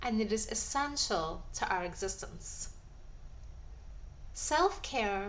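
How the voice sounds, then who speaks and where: Noticeable noise fills the background. Over it, a woman talks fairly slowly. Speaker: holistic nutritionist and wellness coach. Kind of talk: wellness coaching audio talk.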